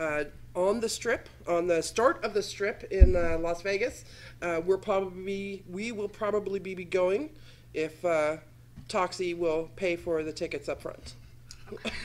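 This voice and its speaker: A woman speaks at a fairly slow pace in an ordinary speaking voice, with medium pitch and ordinary pitch variation. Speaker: talk show host. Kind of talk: casual chat. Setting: studio. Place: studio. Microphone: studio mic.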